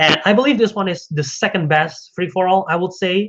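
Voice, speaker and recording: This man speaks with a non-native accent. His pitch is high. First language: not English. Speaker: podcast host. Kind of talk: casual solo commentary. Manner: animated; halting, self-correcting.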